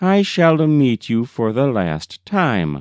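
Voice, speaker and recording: Using a put-on character voice, a man at a medium pitch speaks at a very slow pace. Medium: read story. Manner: gentle, solemn, instructive.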